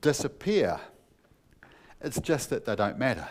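This man speaks. He has a New Zealand accent. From New Zealand, North Otago. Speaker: pastor. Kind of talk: sermon.

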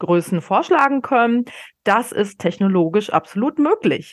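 Her intonation is lively as this woman speaks at a fairly slow pace. The recording is very clean, with a silent background. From Bavaria, small town north of Munich. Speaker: podcast host and retail innovation expert. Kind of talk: solo podcast monologue. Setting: home office. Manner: animated.

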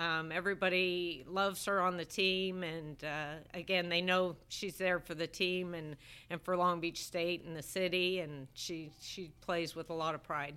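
Bright and sharp in tone, a woman's fairly low voice runs at a fairly slow pace with hardly any pauses and flat, monotone intonation, on a very clean recording with a silent background. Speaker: college softball head coach. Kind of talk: interview.

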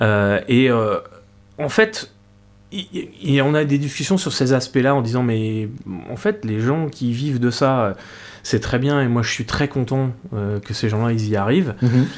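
The man has an unremarkable speaking voice with a medium pitch. He goes at a fairly slow pace with ordinary pitch variation. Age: 50s. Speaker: guitarist. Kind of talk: casual chat. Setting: home cellar studio.

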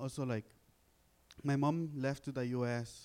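A man with a Honduran accent talks in a dark, mellow tone. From Honduras. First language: Spanish. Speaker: college student and immigrant storyteller. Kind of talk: panel talk sharing personal story. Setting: stage with audience.

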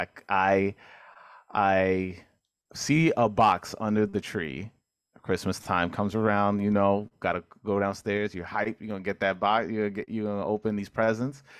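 A man with a New York accent talks at a fairly slow pace, his fairly low pitch held in fairly even intonation. The sound is dry and close with no echo, on a very clean recording with a silent background. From New York City (Corona, Queens). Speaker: podcast host, guest. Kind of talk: casual chat.

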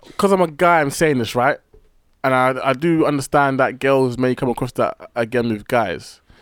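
With a British accent, a man talks using ordinary pitch variation. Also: medium pitch for a man, moderate pace. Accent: British urban. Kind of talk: casual chat.

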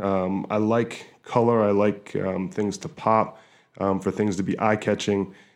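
Against a quiet background, a man speaks at a fairly slow pace and fairly low pitch in a monotone, flat intonation. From New Hampshire. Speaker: visual artist. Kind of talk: interview. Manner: halting, many fillers and repetitions.

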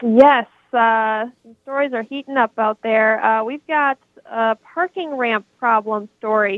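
In an Upper Midwest accent, a woman speaks at a fairly slow pace. Her voice is fairly high, with ordinary pitch variation. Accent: Upper Midwest American. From Minnesota and Wisconsin. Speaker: TV news anchor. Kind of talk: news headlines in chat.

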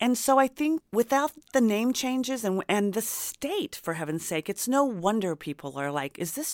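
A woman with an American accent, very wide pitch swings and hardly any pauses, in a very clean recording with a silent background. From US Midwest, rural Indiana. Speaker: memoir author. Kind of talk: interview.

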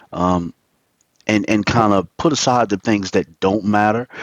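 This man has an American accent, a fairly low pitch and fairly even intonation, in an ordinary speaking voice. The sound is dry and close, with no echo. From Virginia, US. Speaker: motivational speaker and musician. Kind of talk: interview.

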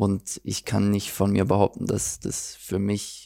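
A man's fairly low, dark, mellow voice with vocal fry, monotone, flat intonation and a fairly slow pace, on a very clean recording with a silent background. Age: 20s. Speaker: professional footballer. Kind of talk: interview.

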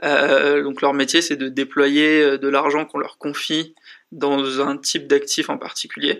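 A man's fairly high-pitched voice, fairly slow, with monotone, flat intonation. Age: 20s. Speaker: startup school dean. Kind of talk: interview.

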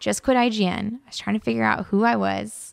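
A woman with a Californian accent speaks at a moderate pace. The recording is very clean, with a silent background and a dry, close sound with no echo. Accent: Californian American. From Los Angeles, US. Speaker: YouTuber, former games journalist. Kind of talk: casual interview chat.

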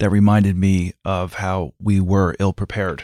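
An ordinary speaking voice from a man, fairly low in pitch and at a moderate pace, in a very clean, dry, close recording with a silent background and no echo. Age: 50s. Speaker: advertising creative director. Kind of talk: interview.

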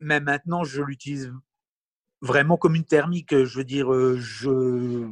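Here a man speaks at a fairly high pitch. The sound is dry and close, without echo. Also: fairly slow pace. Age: 40s. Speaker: electric car owner. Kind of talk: interview. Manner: hesitant.

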